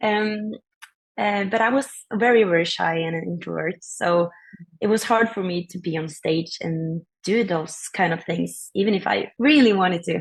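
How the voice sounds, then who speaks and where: A woman's somewhat breathy, medium-pitched voice with a Norwegian accent, ordinary pitch variation and a moderate pace. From Norway. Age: 20s. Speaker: singer-songwriter. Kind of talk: interview.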